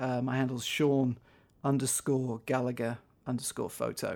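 A man with a Manchester accent at a fairly high pitch, in a very clean recording with a silent background. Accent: northern English (Manchester area). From northwest England, near Manchester. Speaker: documentary photographer and filmmaker. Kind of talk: interview. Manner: halting, frequent repetitions.

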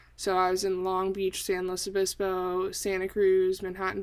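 An animated woman's voice at a medium pitch, in a Californian accent, over a silent background in a very clean recording. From US West Coast, Northern California Bay Area. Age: 20s. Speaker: college student podcaster. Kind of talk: solo podcast monologue. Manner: frequent fillers, lots of ums.

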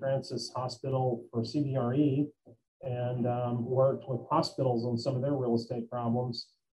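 A man's medium-pitched, flat, monotone voice with a Tennessee accent. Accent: Southern US (Tennessee). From US South (Memphis, Tennessee). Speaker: construction company executive. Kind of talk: interview. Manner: halting.

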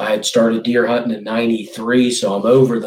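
Noticeable background noise sits behind a man with a fairly low pitch and an Appalachian accent. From West Virginia. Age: 50s. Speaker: bow hunter. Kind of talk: casual chat.

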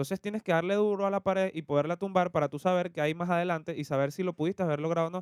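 Very fast speech comes from a man with a high pitch. The sound is dry and close, with no echo. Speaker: podcast co-host. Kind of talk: casual chat.

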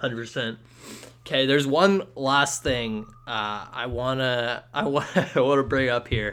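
An unremarkable speaking voice with a Canadian accent and ordinary pitch variation. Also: man, medium pitch for a man, moderate pace. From western Canada (Ladner, BC). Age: 20s. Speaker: student sports podcast host. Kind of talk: casual interview chat.

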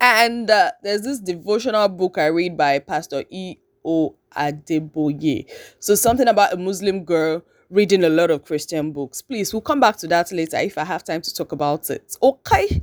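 With a Nigerian accent, a woman speaks in an animated tone at a moderate pace and fairly low pitch, on a very clean recording with a silent background and a dry, close sound with no echo. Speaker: podcast host. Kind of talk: casual monologue. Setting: at home, just woken up. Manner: animated, laughing often.

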